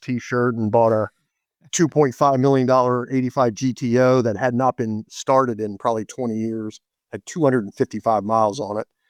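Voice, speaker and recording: In a dry, close recording with no echo and a quiet background, a man with an American accent talks at a moderate pace in a medium pitch. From Maryland, US. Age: 60s. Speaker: classic car dealer. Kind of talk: interview. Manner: animated.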